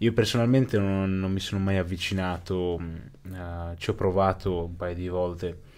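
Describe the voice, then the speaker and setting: Very deep and low in pitch, a man talks at a fairly slow pace. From northern Italy, Brescia (born in Pakistan); northern Italy. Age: 20s. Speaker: interviewee, Pakistani-born immigrant; interviewee. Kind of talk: interview. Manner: halting, many repetitions. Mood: thoughtful, reflective. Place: studio. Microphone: studio mic.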